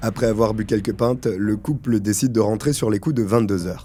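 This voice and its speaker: A man speaks at a fairly quick pace, his fairly low voice carrying a dark, mellow tone. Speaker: true crime YouTuber. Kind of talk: true crime narration, casual asides to viewer.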